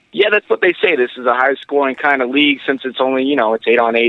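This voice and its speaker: This is a man speaking. He has a northeastern Pennsylvania accent. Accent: northeastern Pennsylvania American. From northeastern Pennsylvania, Wilkes-Barre. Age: 20s. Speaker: football head coach. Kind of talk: interview.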